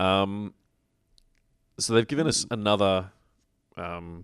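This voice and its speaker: A man with a very deep, low pitch in an Australian accent, with ordinary pitch variation over a quiet background. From Victoria, Australia. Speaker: podcast host. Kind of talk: casual chat.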